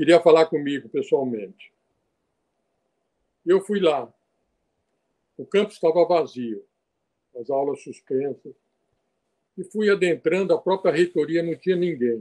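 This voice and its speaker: Dark and mellow in tone yet fairly high in pitch, a man speaks at a fairly slow pace with lively intonation and long, frequent pauses. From northern Brazil (Acre and Rondônia). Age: 70s. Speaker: physician. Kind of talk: oral history interview. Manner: halting, with repetitions.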